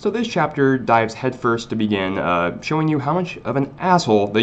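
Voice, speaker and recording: The speaker is a man. He talks at a moderate pace. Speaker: manga review youtuber. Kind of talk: casual video review. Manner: animated.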